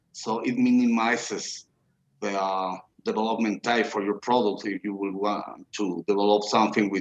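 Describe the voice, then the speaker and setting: Fairly low, monotone, flat speech at a moderate pace from a man with a non-native accent, in a dry, close sound with no echo. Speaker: blockchain engineer. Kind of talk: video Q&A interview. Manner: halting, many fillers.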